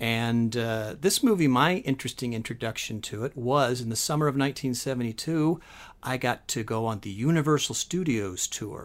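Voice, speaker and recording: A normal speaking voice with an American accent, at a moderate pace and with ordinary pitch variation. The recording is very clean, with a silent background. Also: man, medium pitch for a man. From US West Coast (San Francisco Bay Area). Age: 50s. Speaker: guest podcast host. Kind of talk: casual chat.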